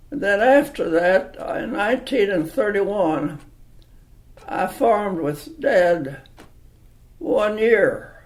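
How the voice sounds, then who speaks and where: A man with a high pitch and very wide pitch swings talks at a very slow pace with long, frequent pauses over noticeable background noise. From Kentucky. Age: 80s+. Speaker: interviewee. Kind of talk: oral history interview. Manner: halting.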